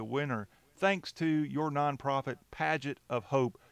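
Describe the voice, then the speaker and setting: A man with an American accent talks at a fairly high pitch, and the sound is dry with no echo. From US South. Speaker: show host. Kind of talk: casual interview. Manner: jokey, laughs often. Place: studio. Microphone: studio mic.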